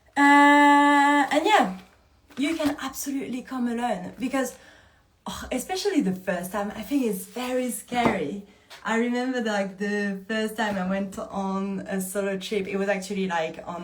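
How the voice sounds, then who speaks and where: In a French accent, the speaker goes at a fairly slow pace with lively intonation, with audible room echo and noticeable background noise. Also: woman, fairly high pitch for a woman. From France. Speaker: movement coach running a retreat. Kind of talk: live Q&A. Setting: livestream. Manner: casual, animated.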